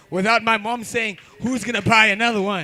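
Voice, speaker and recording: Over noticeable background noise, a man speaks at a very fast pace in an animated tone with a raised, projected voice. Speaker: comedy show host. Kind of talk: stand-up crowd work. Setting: stage with audience.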